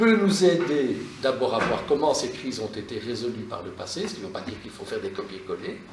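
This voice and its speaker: The voice moves at a moderate pace with very wide pitch swings. The recording has audible room echo and noticeable background noise. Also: man. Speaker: university lecturer. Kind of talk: lecture. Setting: classroom seminar. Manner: hesitant, many fillers.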